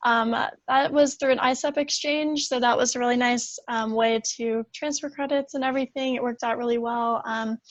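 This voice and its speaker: A woman with a high pitch talks with hardly any pauses and fairly even intonation. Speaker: university student panelist. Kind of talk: panel presentation. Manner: fast.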